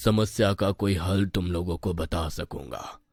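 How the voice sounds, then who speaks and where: In a cartoonish character voice, a man speaks fairly slowly with a solemn tone, on a very clean recording with a silent background. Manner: solemn, authoritative.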